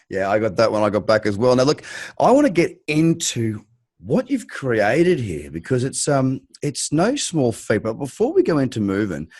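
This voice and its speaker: A man with an Australian accent speaks at a moderate pace. His medium pitch makes very wide swings. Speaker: crypto podcast host. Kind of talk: podcast interview.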